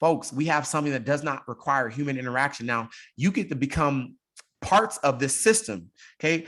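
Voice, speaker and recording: A man talks at a fairly quick pace in a fairly high pitch, with lively intonation and an animated tone. The recording is very clean, with a silent background. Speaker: crypto business presenter. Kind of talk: sales pitch. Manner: fast.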